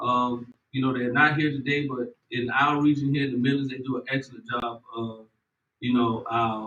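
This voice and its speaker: In a Southern US accent, a man talks at a moderate pace. His pitch is fairly high and his intonation fairly even. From US South, South Carolina (Orangeburg). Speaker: extension program administrator. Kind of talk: ceremony speech.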